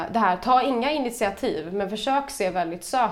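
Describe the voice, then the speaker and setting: At a moderate pace, a woman with a Stockholm accent speaks with ordinary pitch variation. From Stockholm, Sweden. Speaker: podcast guest. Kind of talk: casual chat.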